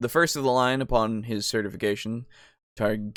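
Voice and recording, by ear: The background is quiet while a speaker reads aloud in a natural voice.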